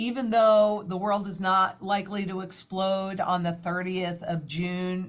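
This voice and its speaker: The voice is somewhat breathy, with fairly even intonation and a very slow pace. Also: woman. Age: 60s. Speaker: financial market analyst. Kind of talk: interview.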